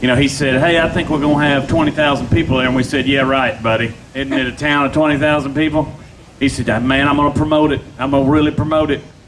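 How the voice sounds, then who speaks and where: A man talks very fast in a Tennessee accent. His intonation is monotone and flat, with noticeable background noise. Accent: US Southern (Tennessee). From Nashville, Tennessee. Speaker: pitmaster, restaurant owner. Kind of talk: interview. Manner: loud.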